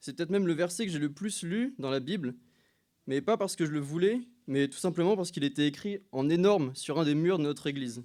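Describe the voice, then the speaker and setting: A man's fairly high, dark, mellow voice at a fairly quick pace with lively intonation, on a very clean recording with a silent background. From France, Loiret (Montargis). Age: 20s. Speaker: church member giving baptism testimony. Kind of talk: testimony. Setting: church service. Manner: hesitant, many filler sounds.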